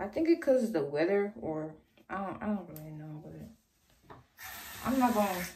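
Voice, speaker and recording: A woman's dark, mellow, somewhat breathy voice with very wide pitch swings. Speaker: vlogger. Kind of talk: casual vlog chat. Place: bathroom. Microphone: phone near.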